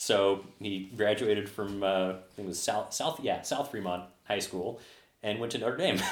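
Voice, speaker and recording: A man with a plain, everyday voice speaks fairly slowly at a fairly low pitch, his pitch varying in an ordinary way. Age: 30s. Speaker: software developer and bar regular. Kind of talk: casual chat.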